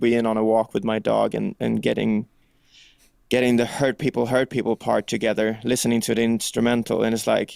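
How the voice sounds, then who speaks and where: Delivered at a fairly quick pace, a man's medium-pitched voice in a Swedish accent sounds dry and close with no echo, on a very clean recording with a silent background. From Sweden. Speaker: rock singer and songwriter. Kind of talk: interview. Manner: casual, animated.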